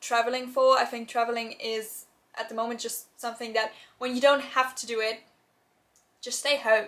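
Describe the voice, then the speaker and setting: Bright and sharp in tone, a woman with a German accent speaks at a moderate pace in a fairly high pitch with monotone, flat intonation. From Germany. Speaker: YouTuber, university student. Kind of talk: Q&A vlog. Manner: casual, many filler words.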